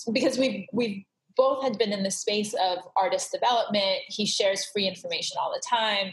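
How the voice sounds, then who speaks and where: The speaker talks at a moderate pace. The voice is somewhat breathy. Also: woman. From Southern California (Glendale), Iranian refugee family. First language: Farsi. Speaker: creative consultant. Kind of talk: interview conversation. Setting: video call.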